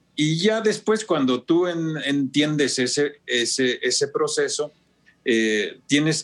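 A man with a fairly high voice and lively intonation, speaking at a very slow pace. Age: 70s. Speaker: design professor and researcher. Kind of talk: interview conversation.

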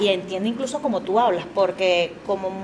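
Noticeable noise runs in the background. Over it, a woman talks at a moderate pace. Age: 30s. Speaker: comedian. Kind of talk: casual chat.

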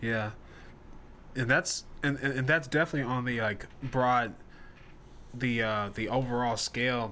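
The recording is very clean, with a silent background. A man talks at a fairly slow pace with fairly even intonation, long, frequent pauses and a bright, sharp tone. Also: medium pitch for a man. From Nashville, Tennessee (US South). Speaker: musician and podcast host. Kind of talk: casual chat.

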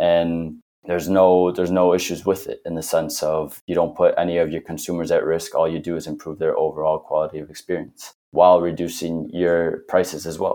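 A man speaks with a Spanish accent. His pace is fairly quick. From Spain. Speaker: startup founder. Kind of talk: interview, casual chat.

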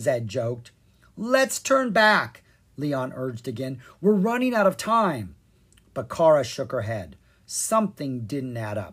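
The animated voice moves at a fairly slow pace over a very clean recording with a silent background. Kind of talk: audiobook reading of a children's fairy tale, scripted narration. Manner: animated storyteller, voicing each character's dialogue.

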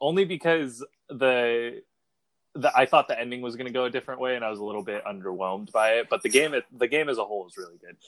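Speaking at a very fast pace, a man with a medium pitch shows big swings in loudness in a dry, close sound with no echo. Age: 20s. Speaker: young podcast co-host, aspiring filmmaker. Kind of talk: casual chat. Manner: hesitant, many fillers.

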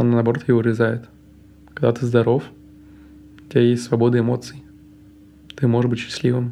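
Here a man talks at a medium pitch with a dark, mellow tone. His intonation is monotone and flat, broken by long, frequent pauses. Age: 20s. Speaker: guest living with mental illness. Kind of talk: personal testimony.

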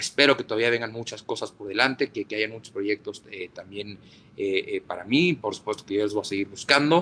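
A man's medium-pitched speech runs at a fairly quick pace with ordinary pitch variation. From northern Mexico, Ciudad Juárez. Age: 20s. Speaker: sports journalist. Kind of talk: interview. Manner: halting, many repetitions and fillers.

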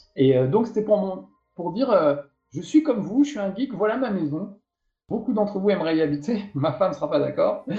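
A man with a high voice talks fairly quickly, his pitch swinging very widely. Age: 50s. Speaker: video game journalist and TV presenter. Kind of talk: casual interview.

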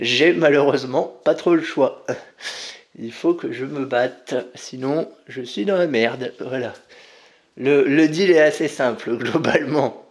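A man with a fairly high pitch talks very slowly, his pitch varying in an ordinary way. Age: 30s. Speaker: podcast host. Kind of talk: casual monologue. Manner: halting.

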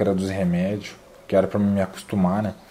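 A man's moderate-paced speech comes through noticeable background noise. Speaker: fitness youtuber, calisthenics athlete. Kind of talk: casual interview.

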